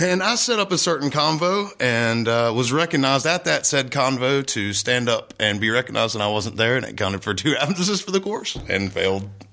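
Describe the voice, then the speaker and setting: A man with a Southern US accent, at a medium pitch with very wide pitch swings and a fairly quick pace. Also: hardly any pauses. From North Carolina. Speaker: musician. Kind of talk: casual chat.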